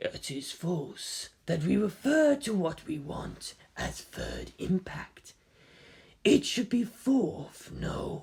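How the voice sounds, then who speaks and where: A man puts on a character voice pitched high. He speaks at a very slow pace. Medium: read story.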